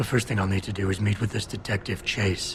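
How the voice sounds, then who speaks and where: A man's put-on character voice, fairly low in pitch, at a very fast pace over clear background noise. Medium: video game. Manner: deadpan, clipped.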